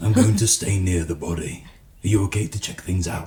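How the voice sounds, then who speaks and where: A man puts on a raspy character voice with a very deep, low pitch. He talks at a fairly quick pace with fairly even intonation. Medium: actual play. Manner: quiet, earnest.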